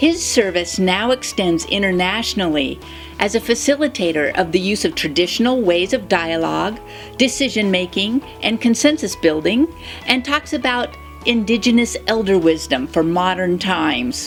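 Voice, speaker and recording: With music in the background, a woman of medium pitch speaks at a moderate pace, her voice swinging very widely in pitch. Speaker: spiritual channel host. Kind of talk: spoken spiritual commentary.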